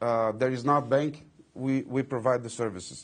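Talking at a moderate pace, a man keeps a medium pitch with ordinary pitch variation. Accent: Portuguese. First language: Portuguese. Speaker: company executive. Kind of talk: interview. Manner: halting, many fillers and repetitions.

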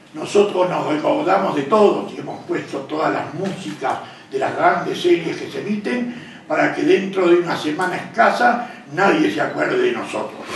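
At a moderate pace, a man speaks amid light background noise and audible room echo. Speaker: presenter. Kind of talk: speech to an audience. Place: hall. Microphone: camera far.

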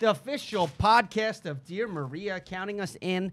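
This man's voice is high in pitch. He talks at a fairly slow pace. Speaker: comedy podcast co-host. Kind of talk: casual chat. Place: home room. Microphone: studio mic.

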